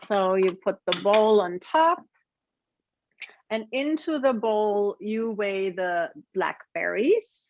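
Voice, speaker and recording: In a German accent, the speaker uses lively intonation at a very slow pace with long, frequent pauses over a quiet background. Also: woman, fairly high pitch for a woman. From Germany. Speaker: cooking demonstrator. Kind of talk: online cooking class.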